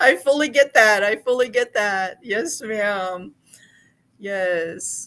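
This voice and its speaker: On a very clean recording with a silent background, a woman uses a raised, projected voice with a bright, sharp tone and lively intonation. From Hawaii and Alaska. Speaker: crochet livestream host. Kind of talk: casual livestream chat and crafting tutorial. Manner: warm, chatty, many fillers.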